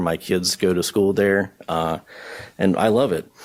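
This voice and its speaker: Speaking with a Southern US accent, a man delivers his lines at a fairly slow pace in a fairly low pitch with monotone, flat intonation. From US South, southwest Georgia. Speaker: county board candidate. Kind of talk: formal address to a board. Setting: board meeting at a podium with audience. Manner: hesitant, many fillers.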